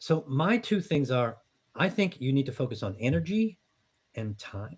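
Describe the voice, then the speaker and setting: Somewhat breathy, a man speaks at a fairly high pitch with very wide pitch swings. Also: moderate pace. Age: 60s. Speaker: business coach and startup founder. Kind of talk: podcast interview. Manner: conversational, with frequent fillers and repetitions.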